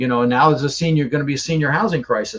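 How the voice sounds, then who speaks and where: His voice is fairly high for a man and a little breathy. The pitch moves in an ordinary way. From Netherlands. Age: 60s. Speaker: real estate investor. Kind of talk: podcast interview. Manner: animated; repeats words often, stumbling.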